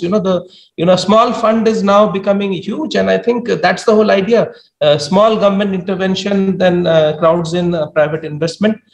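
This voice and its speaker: Over a quiet background, a man talks at a moderate pace with a high pitch and lively intonation. The room echo is audible. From India. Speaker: government official; panelist. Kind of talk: panel discussion. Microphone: video call.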